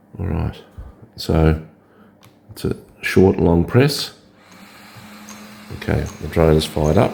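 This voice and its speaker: The speech moves at a very slow pace with long, frequent pauses and ordinary pitch variation, over noticeable background noise. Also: man, very deep, low pitch for a man. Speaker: drone hobbyist. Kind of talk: tutorial. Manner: casual, hesitant with fillers.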